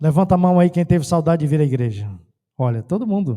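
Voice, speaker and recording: This man speaks with a northeastern Brazilian accent, a dark, mellow tone and very wide pitch swings. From Brazil, Ceará. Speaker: pastor. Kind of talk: sermon. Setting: church.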